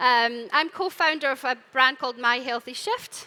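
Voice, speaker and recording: Raising and projecting her voice, a woman with a Scottish accent speaks in a bright, sharp, high-pitched tone. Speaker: panel moderator. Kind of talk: live panel discussion. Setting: stage with audience.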